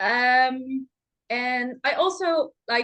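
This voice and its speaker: Spoken with a Dutch accent and ordinary pitch variation, the voice sits over a quiet background. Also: woman. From Netherlands. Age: 20s. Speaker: professional runner. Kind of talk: podcast interview. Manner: hesitant, many fillers.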